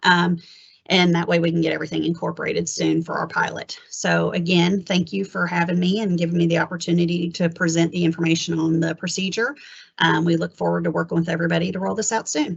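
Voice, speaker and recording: A woman speaks very fast in a fairly low voice with vocal fry. Her intonation stays fairly even. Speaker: HR benefits presenter. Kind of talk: webinar presentation.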